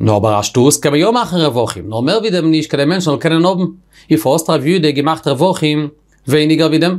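With a plain, everyday voice, a man speaks at a moderate pace in a fairly high pitch with lively intonation. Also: quiet background. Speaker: Talmud teacher. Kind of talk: lecture. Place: studio.

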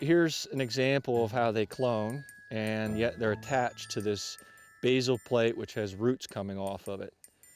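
A man speaks over faint background music. The sound is dry, with no echo. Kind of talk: interview explanation. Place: forest. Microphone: lapel.

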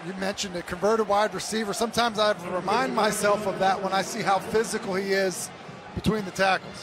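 Over noticeable background noise, a man speaks at a very fast pace. His high-pitched voice stays flat and monotone. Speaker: color analyst. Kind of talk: live sports commentary. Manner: conversational, explanatory, analytical.

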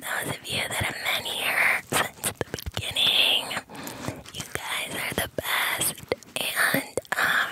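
Whispering, a woman speaks at a very slow pace. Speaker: ASMR channel host. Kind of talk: whispered ASMR chat to viewers. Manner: deep whisper behind a cupped hand. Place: home room. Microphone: studio mic.

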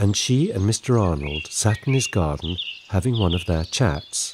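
With an English accent and a soothing, gentle tone, a man with a fairly low voice speaks at a fairly slow pace, his pitch swinging very widely over noticeable background noise. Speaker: bedtime story narrator. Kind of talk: scripted children's bedtime story narration. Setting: studio recording with sound effects and music. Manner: soothing, gentle and slow-paced, storyteller's warmth.

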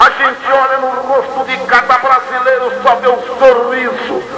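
Through noticeable background noise, a man speaks in a raised, projected voice, extremely high in pitch, at a very slow pace. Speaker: rodeo announcer. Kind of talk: rodeo arena announcing to a crowd. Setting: PA system in a rodeo arena. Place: stadium.

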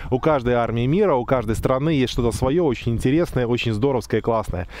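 Over light background noise, a man talks at a very fast pace with ordinary pitch variation in a dry sound with no echo. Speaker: car reviewer. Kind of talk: casual vlog commentary. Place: open country.

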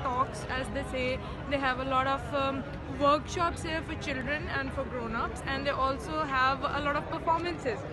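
A woman at a moderate pace, with a dry sound with no echo and crowd noise in the background. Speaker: vlogger. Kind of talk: casual vlog chat. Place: market. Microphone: phone near.

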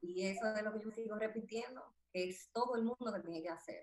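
A woman speaks at a fairly quick pace with a fairly high pitch. The background is quiet. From Dominican Republic. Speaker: dentist and social media comedian; social media comedian. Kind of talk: interview. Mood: calm, reflective. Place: home room. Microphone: video call.

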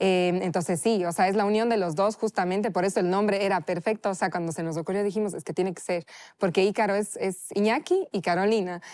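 In a very clean recording with a silent background, a woman speaks with a strong Cuenca Ecuadorian accent. Her medium-pitched voice keeps a fairly even intonation with hardly any pauses. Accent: Cuenca accent, still strong. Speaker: chef. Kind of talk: casual interview.

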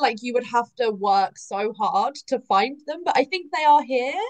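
A woman with an English accent speaks at a high pitch over a quiet background. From England. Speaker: romance author and former chef. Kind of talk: panel interview. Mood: cheerful, animated.

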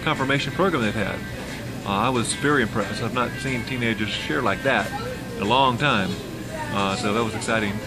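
Clear music plays in the background as a man speaks at a fairly quick pace with ordinary pitch variation. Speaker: travel vlogger. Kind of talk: casual vlog chat. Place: cafe. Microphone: phone near.

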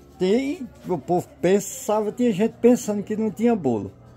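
Faint music can be heard behind the voice. The speaker is a man. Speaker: home video narrator. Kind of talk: casual vlog chat. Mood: cheerful, celebratory. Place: street. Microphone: phone near.

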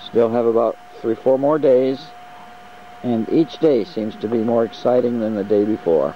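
A man talks at a moderate pace with ordinary pitch variation, the sound dry with no echo and light background noise. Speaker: tour participant narrating trip. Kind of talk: travelogue audio diary. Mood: enthusiastic.

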